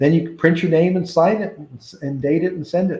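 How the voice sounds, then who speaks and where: A man talks at a fairly quick pace in a dark, mellow tone. His voice is somewhat breathy, with ordinary pitch variation. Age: 60s. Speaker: tax accountant and real estate broker. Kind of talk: tutorial. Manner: halting, many fillers.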